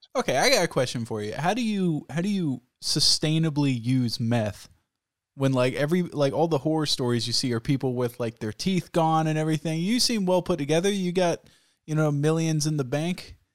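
An ordinary speaking voice from a man, fairly high, with lively intonation at a fairly quick pace. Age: 20s. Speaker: podcast host. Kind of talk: casual chat; scripted narration. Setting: video call.

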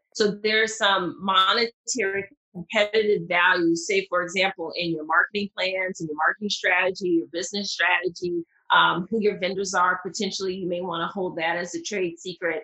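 A woman at medium pitch talks at a fairly quick pace in a Southern US accent, her intonation fairly even. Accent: Southern US, pronounced. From Mississippi, US South. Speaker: patent attorney. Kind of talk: interview, conversational explanation.

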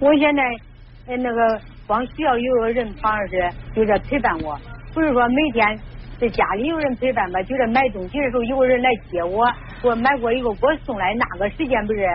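A woman's high voice at a fairly quick pace, ordinary pitch variation, and noticeable background noise. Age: 50s. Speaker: radio call-in caller. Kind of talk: call-in counseling conversation. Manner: halting, repetitive.

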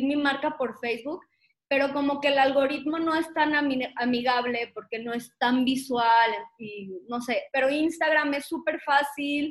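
A woman's high-pitched voice, fairly slow, with ordinary pitch variation. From Guadalajara, Mexico. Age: 30s. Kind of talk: casual interview chat.

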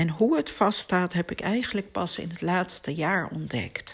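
This woman has a fairly low pitch with ordinary pitch variation and vocal fry. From Amsterdam, Netherlands. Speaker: podcast host, spiritual teacher. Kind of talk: personal monologue. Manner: hesitant with filler words.

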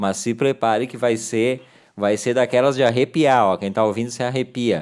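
A man uses a plain, everyday voice at a medium pitch with ordinary pitch variation. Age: 40s. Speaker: radio host. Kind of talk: casual chat.

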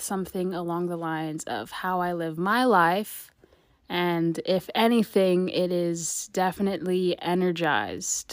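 A woman's plain, everyday voice, medium in pitch and fairly slow, on a very clean recording with a silent background. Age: 20s. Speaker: university student podcaster. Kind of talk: solo podcast monologue. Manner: casual, upbeat.

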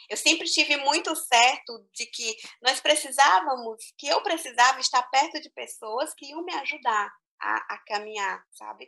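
In a raised, projected voice, a woman speaks at a fairly slow pace with a high pitch, ordinary pitch variation and a bright, sharp tone. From Brazil, small interior town. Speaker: teacher. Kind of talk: interview. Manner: hesitant, repeats words.

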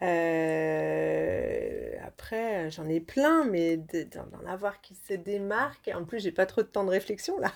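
Very slow speech from a woman, with big swings in loudness. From France, Lyon. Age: 30s. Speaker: model and actress. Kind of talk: interview. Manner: hesitant.

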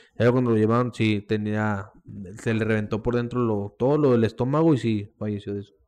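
Speaking in an unremarkable speaking voice, a man keeps a fairly quick tempo. His voice sits at a medium pitch, and his tone stays fairly level. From Mexico, Coahuila (Monclova). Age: 20s. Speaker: professional wrestler. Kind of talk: casual chat.

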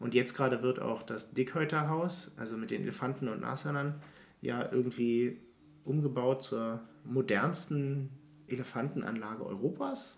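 With noticeable background noise around him, a man speaks at medium pitch and a moderate pace with ordinary pitch variation. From Berlin, Germany. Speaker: podcast co-host. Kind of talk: casual chat.

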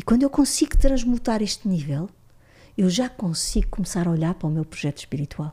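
A woman speaks at a medium pitch that swings very widely. Her tone is dark and mellow, and somewhat breathy. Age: 50s. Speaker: psychologist and systemic consciousness facilitator. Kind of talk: interview, explanatory teaching.

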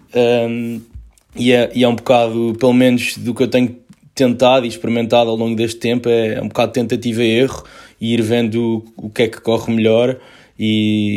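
The intonation stays monotone and flat. This man keeps to a moderate tempo. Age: 20s. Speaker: clothing brand founder. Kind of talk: testimony.

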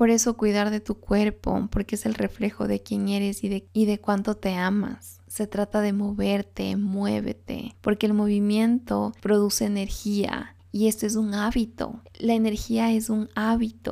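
A woman talks at a fairly slow pace with hardly any pauses, in a medium pitch. Her tone is dark and mellow, and her intonation is monotone and flat. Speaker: self-help podcast host. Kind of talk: solo motivational monologue.

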